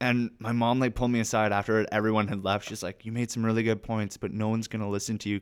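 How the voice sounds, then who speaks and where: A man with a Canadian accent, fairly low pitch, monotone flat delivery, a very fast pace and hardly any pauses. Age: 20s. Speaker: actor. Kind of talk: casual chat.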